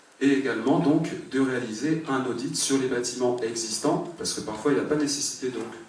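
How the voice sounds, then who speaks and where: A man of medium pitch speaks at a moderate pace with ordinary pitch variation. The recording carries audible room echo and noticeable background noise. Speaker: municipal election candidate. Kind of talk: public speech. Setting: public meeting with audience. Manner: hesitant, many fillers.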